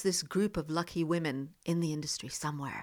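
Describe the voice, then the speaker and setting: A woman with an American accent uses a normal speaking voice at a fairly low pitch and moderate pace, in a very clean recording with a silent background. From US South. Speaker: journalist and broadcaster, podcast co-host. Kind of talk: casual chat. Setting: in person in a home study.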